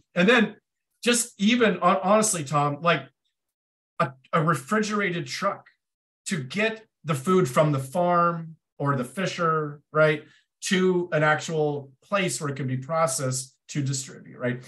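At a fairly slow pace, a man talks with a high pitch, a bright, sharp tone and ordinary pitch variation. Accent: American. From Portland, Oregon, US Pacific Northwest. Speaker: nonprofit founder. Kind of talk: interview. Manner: halting, many repeated words.

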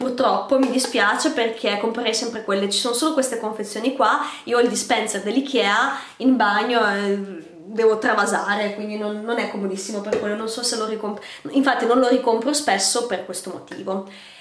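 Over noticeable background noise, a woman talks at a fairly quick pace in a fairly high pitch with fairly even intonation. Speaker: beauty vlogger. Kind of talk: casual vlog monologue, product review. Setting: video, filmed at home facing camera. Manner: chatty, ironic, halting with repetitions.

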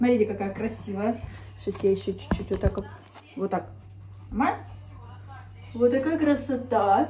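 Animated in tone, a woman speaks at a fairly slow pace with long, frequent pauses, with light background noise and audible room echo around her. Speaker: vlogger. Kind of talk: casual vlog monologue. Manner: chatty, animated. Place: home room. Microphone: phone near.

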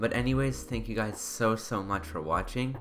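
The speech moves at a fairly quick pace, with faint music in the background. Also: man. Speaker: tech reviewer. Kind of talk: product review voice-over. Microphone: studio mic.

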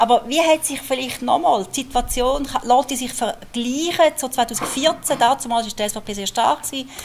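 A woman's high voice in a Swiss accent, moderate in pace with hardly any pauses, ordinary pitch variation, big swings in loudness and light background noise. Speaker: moderator and local journalist; moderator, local journalist. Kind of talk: moderated panel discussion. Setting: stage with audience.

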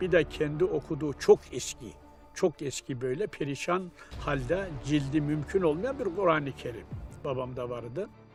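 A man talks at a fairly slow pace with music in the background. His pitch is fairly high, with ordinary variation. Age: 80s+. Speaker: imam. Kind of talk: documentary interview answer.

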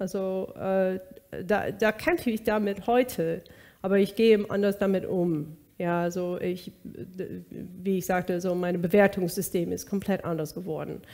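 Medium pitch from a woman, fairly even intonation, fairly slow pace, quiet background. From US West Coast (Bakersfield, California). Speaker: singer. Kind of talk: interview, personal testimony. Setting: studio. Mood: calm, reflective. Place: kitchen.

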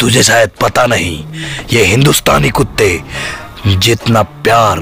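Over clear background music, a man speaks at a very slow pace in a dry sound with no echo. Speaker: actor playing a villain. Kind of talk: scripted drama dialogue. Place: empty room. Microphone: phone near.

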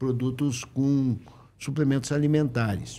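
A man's very slow speech in a dark, mellow tone. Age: 70s. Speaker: businessman, company founder; podcast guest. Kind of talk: podcast interview. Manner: halting. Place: studio. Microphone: studio mic.

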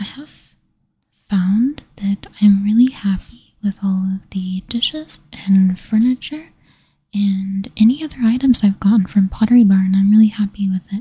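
A soft-spoken, somewhat breathy woman whispering at a fairly slow pace, dry with no echo. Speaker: ASMR creator. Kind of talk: ASMR product review, quiet talk to camera. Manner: soft-spoken, whispery. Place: home room. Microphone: studio mic.

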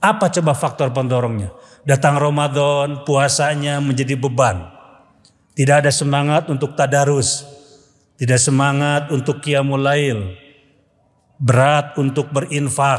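A man at a fairly slow pace with very even loudness. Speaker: Islamic preacher. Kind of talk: humorous sermon. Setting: mosque with congregation. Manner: animated, humorous. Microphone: podium.

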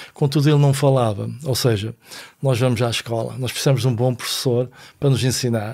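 A man talks at a medium pitch and a moderate pace, his tone dark and mellow with fairly even intonation. The recording is very clean, with a silent background. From Portugal, Vila Nova de Foz Côa. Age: 60s. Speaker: philosophy teacher and author. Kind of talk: casual chat.

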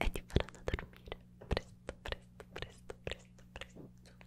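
Soft-spoken and whispering, a woman talks at a fairly slow pace. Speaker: ASMR creator. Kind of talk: soft ASMR whisper to viewer. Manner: soft close-mic ASMR whisper. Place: studio. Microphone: studio mic.

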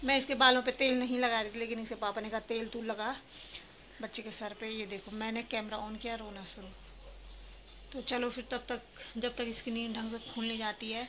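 A woman speaks at a fairly high pitch and a moderate pace, with monotone, flat intonation. Light background noise can be heard. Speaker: vlogger, young mother; mother vlogger. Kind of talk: casual vlog talk to camera. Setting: at home, kitchen and sunny outdoor spot. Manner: speaking softly so the sleeping baby won't wake. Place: home room. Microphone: phone near.

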